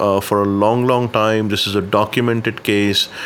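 Over a noticeably noisy background, the speech proceeds at a moderate speed. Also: man. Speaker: banking and payments consultant. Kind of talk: interview.

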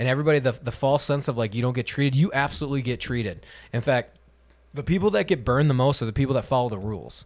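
Very fast speech comes from a medium-pitched man with ordinary pitch variation. The recording is very clean, with a silent background. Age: 30s. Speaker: podcast host. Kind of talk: casual chat.

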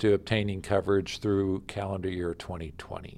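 Over a silent background in a very clean recording, a man with an American accent and a plain, everyday voice speaks at a moderate pace. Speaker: state insurance official. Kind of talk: interview. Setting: office. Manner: formal.

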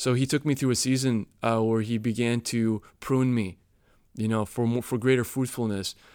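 The speaker has an unremarkable speaking voice with an American accent. The intonation is fairly even, and the recording is very clean with a silent background. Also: man. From US Midwest, Chicago. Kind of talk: casual chat.

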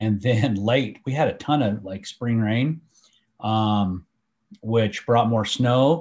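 An unremarkable speaking voice from a man with an American accent, medium in pitch, at a fairly slow pace. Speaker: hunter and trail camera user. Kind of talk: casual chat.

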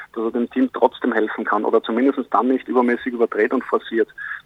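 Fairly quick, monotone, flat speech from a man at medium pitch. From Austria. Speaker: basketball coach. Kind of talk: interview. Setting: phone call at airport gate.

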